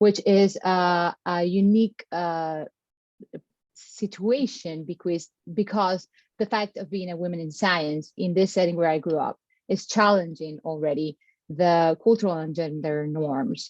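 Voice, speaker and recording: With a Colombian accent, a woman speaks at a fairly slow pace against a quiet background, her pitch fairly low with ordinary variation. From Caribbean Colombia. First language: Spanish. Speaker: postdoctoral researcher. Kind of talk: panel discussion. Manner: hesitant, many fillers.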